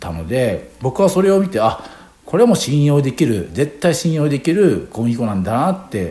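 A man's fairly high-pitched voice has a dark, mellow tone, somewhat breathy, with very wide pitch swings. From Japan, Hiroshima. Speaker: chef. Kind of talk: radio interview. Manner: halting, many fillers.

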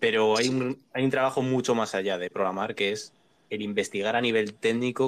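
A man talks fairly quickly in an ordinary speaking voice, his pitch fairly low and his intonation fairly even. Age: 20s. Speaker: programmer. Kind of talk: casual chat.

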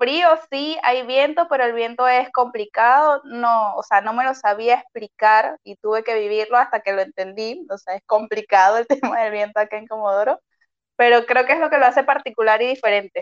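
An ordinary speaking voice, this woman's fairly high pitch shows ordinary pitch variation and big swings in loudness at a moderate pace, in a dry, close sound with no echo. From Venezuela, Maracay. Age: 20s. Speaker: doctor. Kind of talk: interview.

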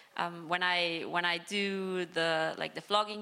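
A woman with a German accent speaks at medium pitch in a monotone, flat intonation, in a very clean recording with a silent background. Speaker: professional footballer. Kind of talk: live panel discussion. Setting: live stage with audience. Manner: hesitant.

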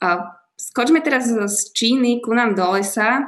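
This woman talks at a fairly slow pace. Her pitch is fairly high, with ordinary pitch variation. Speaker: podcast host. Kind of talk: interview.

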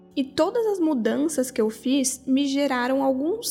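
A woman's high voice, dark and mellow in tone, with lively intonation at a moderate pace. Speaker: podcast host. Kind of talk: reflective monologue.

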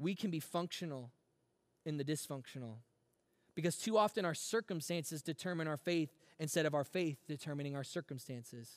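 This man has a normal speaking voice, pitched fairly high, with ordinary pitch variation. He talks at a fairly quick pace, and the sound is dry and close with no echo. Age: 30s. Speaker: student pastor. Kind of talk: sermon. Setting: online church service.

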